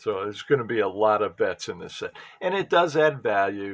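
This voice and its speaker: A man mumbles at a moderate pace. His pitch varies in an ordinary way. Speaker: sports card collector. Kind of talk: casual pack opening commentary. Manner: mumbling; halting.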